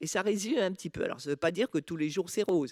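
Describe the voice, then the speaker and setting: A woman with a fairly low voice speaks with lively intonation. The recording is very clean and dry, close and echo-free, with a silent background. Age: 60s. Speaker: patient expert. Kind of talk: personal testimony at a conference. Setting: conference talk. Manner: halting, many hesitations.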